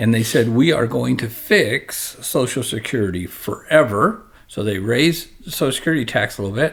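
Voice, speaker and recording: Lively intonation marks this man's medium-pitched voice at a moderate pace. He barely pauses, and noticeable background noise is present. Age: 60s. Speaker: financial advisor. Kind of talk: podcast discussion. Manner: conversational, with frequent self-corrections.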